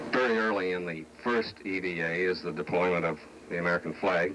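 Noticeable background noise accompanies a man's very deep, low voice. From United States. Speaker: television news anchor. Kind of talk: television news broadcast commentary. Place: studio.

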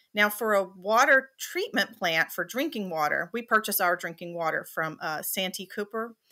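This speaker has a Southern US accent, a bright, sharp tone and lively intonation at a moderate pace. There are hardly any pauses, and the background is quiet. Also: woman. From South Carolina, USA. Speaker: water utility operations manager. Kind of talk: interview answer. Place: home room.

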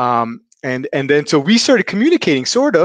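A man talks at a moderate pace while the background stays quiet. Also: dry sound with no echo. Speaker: watch channel host. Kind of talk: casual livestream interview. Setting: livestream video call. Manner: hesitant, many fillers and repetitions. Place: home room. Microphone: headset.

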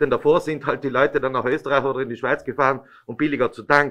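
Against a quiet background, a man talks with a fairly high pitch and a bright, sharp tone. His intonation is fairly even. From Italy. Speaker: regional politician. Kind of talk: press conference statement. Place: meeting room. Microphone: podium.

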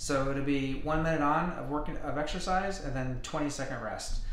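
The room echo is audible. A man talks in a monotone with flat intonation. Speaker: fitness trainer. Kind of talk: casual intro to a workout video. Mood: friendly, relaxed. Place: home room. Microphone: webcam.

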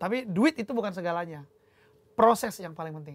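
The man's voice sits high in pitch and shows ordinary pitch variation. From North Sumatra, Indonesia (Sidikalang, Batak); North Sumatra. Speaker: musician, drummer; guest. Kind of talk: casual chat. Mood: reflective, earnest. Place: home room.

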